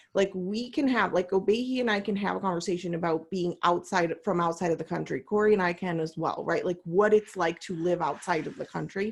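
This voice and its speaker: An ordinary speaking voice with an American accent, a fairly quick pace, hardly any pauses and ordinary pitch variation. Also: woman, medium pitch for a woman. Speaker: coach, panel host. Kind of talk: panel discussion. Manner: casual, many fillers.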